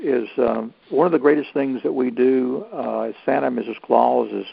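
Someone speaks in a Southern US accent over noticeable background noise. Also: man. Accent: Southern US (Georgia). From US South, North Georgia. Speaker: Santa Claus performer and actor. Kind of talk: interview.

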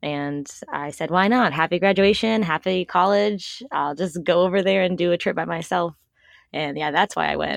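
A plain, everyday voice with an American accent, heard at a moderate pace. The pitch varies in an ordinary way, and the background is quiet. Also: woman, fairly low pitch for a woman. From US East Coast, Washington D.C. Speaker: travel blogger. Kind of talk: casual chat.

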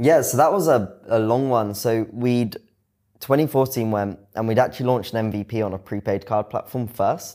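A man with a British accent and a dark, mellow tone, on a very clean recording with a silent background. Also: medium pitch for a man, ordinary pitch variation, moderate pace. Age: 20s. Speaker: fintech founder and CEO. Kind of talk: interview. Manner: casual.

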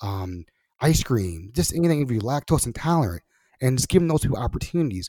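A dark, mellow tone at a fairly quick pace with very wide pitch swings, in a very clean recording with a silent background and a dry, close sound with no echo. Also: man. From Baltimore, Maryland. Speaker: podcast host. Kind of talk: interview.

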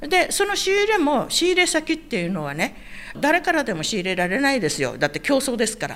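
The voice swings very widely in pitch at a fairly quick pace. Noticeable background noise sits behind it. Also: woman, high pitch for a woman. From Okinawa, Itoman. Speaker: Okinawan elder sharing local history. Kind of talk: interview, casual storytelling.

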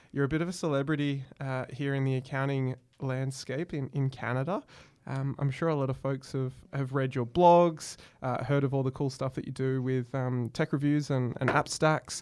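This man has a medium pitch and an Australian accent. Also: moderate pace, very clean recording, silent background. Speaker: podcast host. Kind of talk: interview. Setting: studio. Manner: animated.

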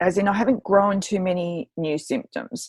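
In a dry, close recording with no echo, a woman with an Australian accent talks at a fairly slow pace. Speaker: journalist and author. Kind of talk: interview guest. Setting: remote recording. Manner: animated.

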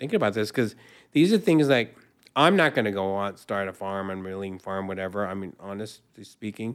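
In a very clean recording with a silent background, a man with an American accent and a plain, everyday voice speaks at a fairly low pitch with ordinary pitch variation. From Southern California. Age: 60s. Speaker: native foods educator. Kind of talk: interview.

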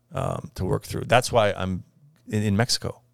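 Using vocal fry and ordinary pitch variation, a man talks at a moderate pace in a fairly low voice. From US, rural southwest Idaho (Parma). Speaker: furniture importer and business owner. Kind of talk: interview.

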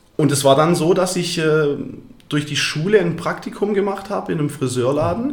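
Against noticeable background noise and audible room echo, a man with a fairly high voice talks at a moderate pace with lively intonation. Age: 20s. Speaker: barber and business owner. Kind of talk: interview.

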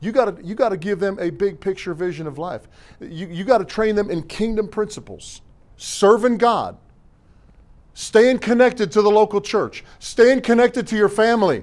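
A man with a high pitch speaks at a moderate pace, his loudness swinging widely. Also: ordinary pitch variation. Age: 50s. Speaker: pastor. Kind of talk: Sunday sermon preached to a responsive congregation, call-and-response exhortation. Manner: folksy, punchy conversational preaching with slangy asides and repeated refrains; emphatic, hammering repetition with stumbles and restarts.

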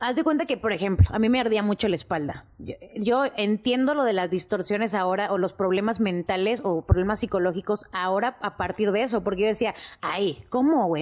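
A woman with an ordinary speaking voice, medium pitch and ordinary pitch variation, at a fairly quick pace with hardly any pauses, on a very clean recording with a silent background. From Mexico City. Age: 20s. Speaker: podcast production staff. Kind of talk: casual chat. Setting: studio.

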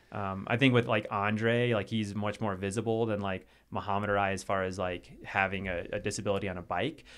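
A man speaking at a fairly quick pace with fairly even intonation and hardly any pauses. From US South, western North Carolina. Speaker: adaptive mountain athlete. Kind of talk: casual interview chat. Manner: casual, filler-heavy.

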